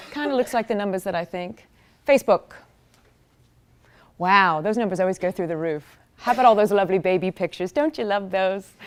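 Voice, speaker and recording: On a very clean recording with a silent background, a woman with an animated tone speaks at a fairly quick pace and medium pitch, with ordinary pitch variation and long, frequent pauses. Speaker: digital marketing executive. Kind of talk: conference talk. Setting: stage with audience. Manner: loud.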